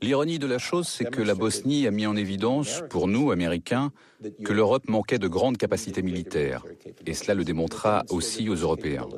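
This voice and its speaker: A man with a plain, everyday voice speaks at a fairly low pitch. His pace is moderate and his loudness very even. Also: lively intonation. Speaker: voice-over artist. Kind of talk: documentary voice-over reading the translated testimony of an interviewee; documentary voice-over for a broadcast documentary.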